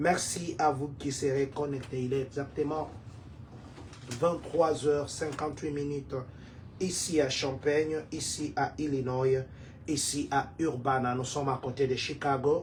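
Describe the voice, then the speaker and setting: This man talks at a very slow pace with long, frequent pauses, his fairly high voice held in a monotone, flat intonation. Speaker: community leader and online show host. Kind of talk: livestream news talk. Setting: live stream.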